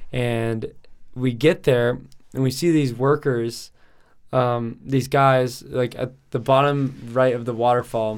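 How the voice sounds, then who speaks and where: Very slowly and in an American accent, a man speaks at a medium pitch with monotone, flat intonation. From Colorado, Denver area. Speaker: professional cliff diver. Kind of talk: casual chat.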